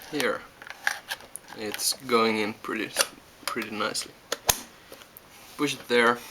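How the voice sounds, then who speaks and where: Noticeable background noise sits under a fairly slow voice in a Finnish accent, broken by long, frequent pauses. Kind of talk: casual how-to demonstration.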